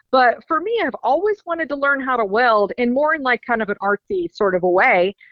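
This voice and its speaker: Speaking in a Southern US accent, a woman keeps a moderate pace and lively intonation. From US South, Rutherfordton, North Carolina. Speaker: racing trade show organizer. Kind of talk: promotional interview.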